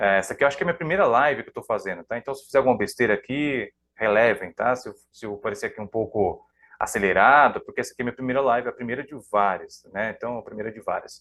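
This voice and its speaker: A man talks at a very fast pace and medium pitch, with ordinary pitch variation and big swings in loudness. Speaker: psychoanalyst. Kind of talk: live stream talk. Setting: live stream.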